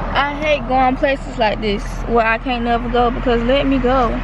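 A woman's voice with ordinary pitch variation, dry with no echo, over noticeable background noise. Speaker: vlogger. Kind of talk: casual vlog chat. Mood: relaxed, a bit annoyed. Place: car. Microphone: phone near.

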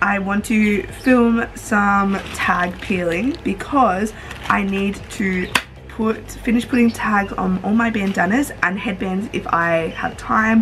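A woman speaks with ordinary pitch variation while faint music plays in the background. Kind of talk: casual vlog chat. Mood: cheerful and relaxed. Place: home room. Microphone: phone near.

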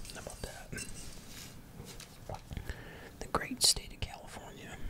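Soft-spoken whispering over noticeable background noise. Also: fairly slow pace. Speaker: presenter. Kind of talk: casual product commentary. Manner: soft ASMR whisper.

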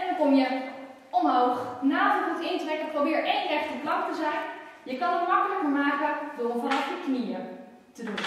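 In a room with strong echo and light background noise, a woman speaks at a moderate pace. Her voice sits high, with ordinary pitch variation. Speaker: fitness instructor. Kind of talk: tutorial; exercise demonstration with verbal cues. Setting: exercising with children on a mat. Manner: brisk, clear, instructive; encouraging, friendly. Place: gym. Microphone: camera far.

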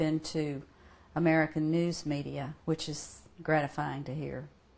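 A woman speaks in a very deep, low voice with fairly even intonation. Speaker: interviewee. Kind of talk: interview answer. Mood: warm, earnest. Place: home room.

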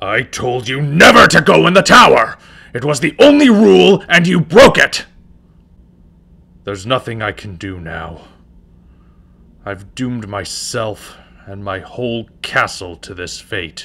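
A man puts on a character voice, leaving long, frequent pauses. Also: medium pitch for a man, moderate pace. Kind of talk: character audition. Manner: angry, then despairing.

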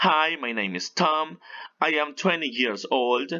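A man's pitch swings very widely as he speaks. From Peru. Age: 30s. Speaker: English teacher. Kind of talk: tutorial. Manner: animated.

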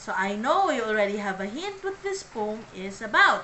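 A woman's fairly high pitch at a fairly slow pace, an unremarkable speaking voice over light background noise. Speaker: vlogger. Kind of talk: poem reading. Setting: vlog. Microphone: phone near.

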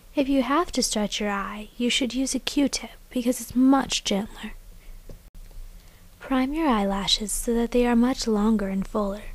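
Soft-spoken and high-pitched, a woman talks at a fairly slow pace with ordinary pitch variation. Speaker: beauty vlogger. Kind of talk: makeup tutorial voice-over. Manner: quiet, soft-spoken.

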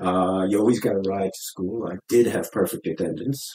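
With a Long Island accent, a man talks at a fairly quick pace in a fairly low pitch and a dark, mellow tone. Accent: Long Island New York English. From US Northeast, Long Island (North Fork, Mattituck). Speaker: former museum chairman and sea captain. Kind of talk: interview.

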